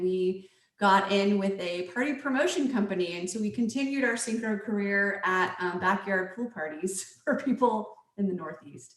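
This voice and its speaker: A woman at a moderate pace, medium pitch and ordinary pitch variation, with noticeable background noise. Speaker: former athlete. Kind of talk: casual chat. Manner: halting.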